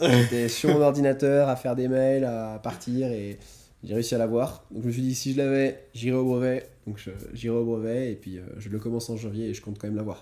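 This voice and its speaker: Fairly quick and dark, mellow in tone, a man talks at medium pitch. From France. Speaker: entrepreneur, financial advisor. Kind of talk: casual interview. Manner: fast; animated.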